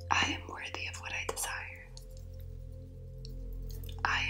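Someone whispers. The pace is fairly slow. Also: woman. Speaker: reiki healer. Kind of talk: ASMR affirmations. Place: home room.

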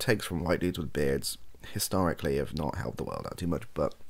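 A man speaks at a very deep, low pitch. Vocal fry runs through his voice. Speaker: streamer or podcaster. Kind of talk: casual opinion chat. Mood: thoughtful, hedging. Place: home room.

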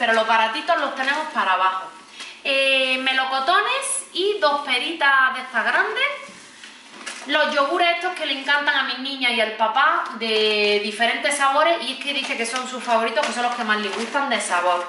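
A woman's raised, projected voice, high-pitched, at a moderate pace, with light background noise and audible room echo. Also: lively intonation. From Spain. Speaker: family vlogger, mother; family vlogger. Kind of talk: casual vlog talking to camera. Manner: animated. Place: kitchen. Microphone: camera far.

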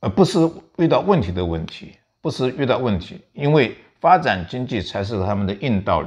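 A man at a moderate pace makes very wide pitch swings and big swings in loudness. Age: 70s. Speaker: veteran journalist and commentator. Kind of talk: political commentary chat. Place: home room. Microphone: lapel.

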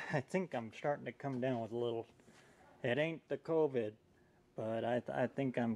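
A man talks with fairly even intonation at a moderate pace. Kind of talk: casual tutorial commentary. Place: garage. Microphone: phone near.

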